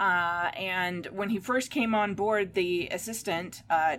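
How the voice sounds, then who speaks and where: Her pitch is medium and varies by an ordinary amount. The woman has an unremarkable speaking voice. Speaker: author and geek website editor. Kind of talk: casual chat.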